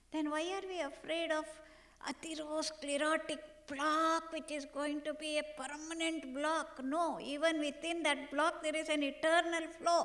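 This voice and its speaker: In a room with audible echo, a woman talks fairly slowly at a high pitch with a flat, monotone delivery. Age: 60s. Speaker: medical doctor and yoga researcher. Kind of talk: conference keynote lecture.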